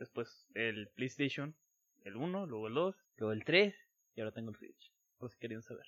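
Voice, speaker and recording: With a Mexican accent, the speaker talks at a moderate pace, using lively intonation, big swings in loudness and long, frequent pauses, in a dry, close sound with no echo. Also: man, medium pitch for a man. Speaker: podcast co-host. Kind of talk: casual chat.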